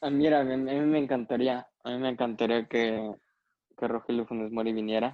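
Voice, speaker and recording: Man with an unremarkable speaking voice, medium pitch, fairly even intonation, and a fairly quick pace. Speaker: sports podcast co-host. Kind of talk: casual chat.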